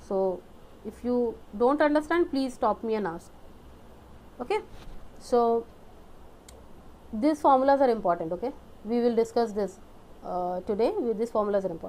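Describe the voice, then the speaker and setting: A woman speaks with a fairly high pitch and lively intonation. She takes long, frequent pauses. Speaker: exam prep teacher. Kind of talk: lecture. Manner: fast.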